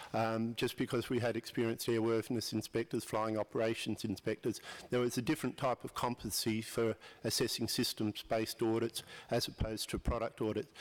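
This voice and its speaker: Here a man with an Australian accent talks at a medium pitch and a fairly quick pace. His intonation is monotone and flat, and his loudness is very even. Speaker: audience member at aviation conference. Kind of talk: audience question at panel session.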